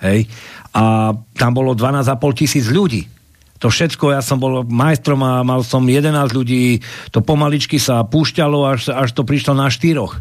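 A man with an ordinary speaking voice at a fairly slow pace and medium pitch, with ordinary pitch variation, very even loudness, and a very clean recording with a silent background. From Košice, eastern Slovakia. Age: 50s. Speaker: security manager, political movement member. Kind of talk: political talk show discussion.

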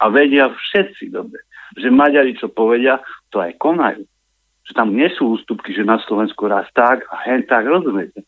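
A man's medium-pitched voice with lively intonation at a moderate pace, an ordinary speaking voice. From eastern Slovakia, Michalovce. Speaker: caller. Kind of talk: phone-in call. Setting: phone call.

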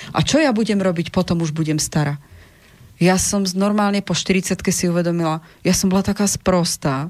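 A woman's normal speaking voice, fairly low in pitch, with fairly even intonation at a moderate pace. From Czech Republic, Prague. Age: 40s. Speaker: relationship counselor. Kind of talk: radio interview. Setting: studio.

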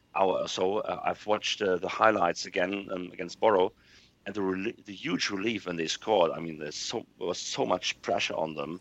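Speaking at a moderate pace with ordinary pitch variation, this voice carries a German accent. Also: man. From Germany. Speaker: football podcast panelist. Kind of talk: casual chat.

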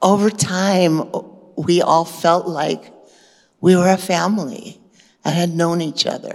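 Pausing long and often, a woman with a fairly low pitch keeps a fairly slow pace and fairly even intonation. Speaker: retreat attendee sharing experience. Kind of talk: testimony. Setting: spiritual retreat hall with audience.

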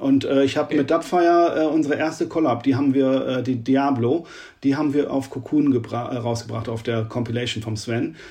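A man speaks with a fairly high pitch. His tone is dark and mellow. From northern Germany, Oldenburg. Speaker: techno DJ, producer and label owner. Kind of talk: interview.

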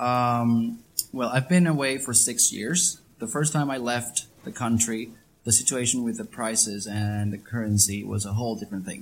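A man's speech moves at a fairly slow pace, showing ordinary pitch variation amid noticeable background noise. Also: medium pitch for a man. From Venezuela, Caracas. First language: Spanish (speaking Slovak). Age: 20s. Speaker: interviewee on life in Venezuela. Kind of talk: interview with interpreter.

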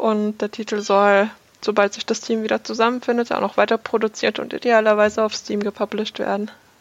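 In a dry, close recording with no echo and a quiet background, a woman with a fairly high voice speaks fairly quickly in a flat monotone. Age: 20s. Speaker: game design student. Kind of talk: interview.

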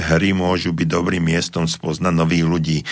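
A man talks at a moderate pace with a very deep, low pitch. Noticeable background noise is present. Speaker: psychologist and radio host. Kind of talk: radio advice call-in show. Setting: radio studio. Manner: loud, not soft.

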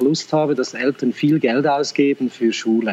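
A man uses an ordinary speaking voice at a fairly high pitch. His intonation stays fairly even. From Central Switzerland, Lucerne. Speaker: school principal and teacher. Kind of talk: interview conversation.

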